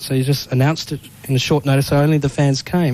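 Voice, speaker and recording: Someone with an Australian accent talks at a fairly quick pace over noticeable background noise. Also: man. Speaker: radio host. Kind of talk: radio interview. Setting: radio studio.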